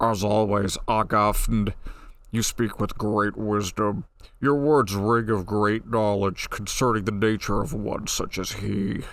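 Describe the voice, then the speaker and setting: A man's put-on character voice, fairly low in pitch, fairly slow, with fairly even intonation. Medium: read story. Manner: pompous, imperious.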